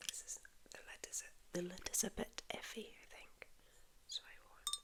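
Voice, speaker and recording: A woman is whispering. Her loudness swings widely. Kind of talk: ASMR haul, soft spoken and whispered show-and-tell. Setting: lives in Spain. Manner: soft-spoken, relaxing, slow.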